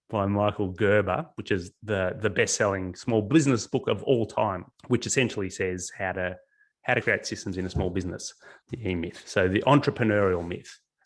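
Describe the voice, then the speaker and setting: A man's fairly low voice keeps ordinary pitch variation while moving at a moderate pace. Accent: Australian. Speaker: business coach. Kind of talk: webinar presentation.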